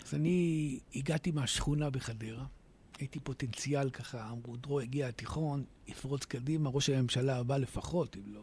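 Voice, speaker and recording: Somewhat breathy and at a medium pitch, a man speaks at a moderate pace with fairly even intonation and big swings in loudness. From Israel, Hadera. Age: 50s. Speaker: author. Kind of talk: radio interview.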